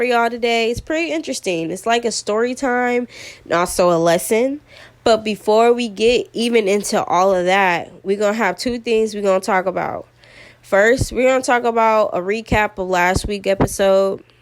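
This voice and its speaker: Her pitch sits fairly high, with ordinary variation, as the woman talks at a moderate pace. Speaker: podcast host. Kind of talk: casual chat. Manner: animated.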